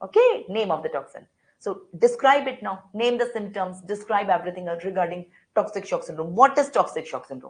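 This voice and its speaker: A woman with an Indian accent at a fairly quick pace. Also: big swings in loudness. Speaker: medical lecturer. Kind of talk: online lecture. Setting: online class. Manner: fast.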